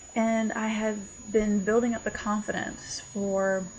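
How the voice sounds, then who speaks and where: A woman's very slow speech with audible room echo. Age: 20s. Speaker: contributor sharing coming out story. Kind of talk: personal testimony.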